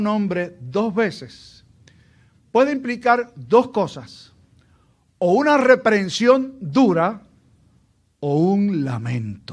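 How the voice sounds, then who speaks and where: In a Puerto Rican accent, a man speaks at a high pitch and a very slow pace, with very wide pitch swings and long, frequent pauses. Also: very clean recording, silent background. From Puerto Rico, Aguadilla. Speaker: pastor. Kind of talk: sermon.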